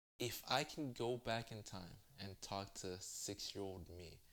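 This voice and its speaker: A man talks in a very deep, low voice. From US. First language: Spanish. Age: 20s. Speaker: interviewee. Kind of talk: casual interview. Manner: halting.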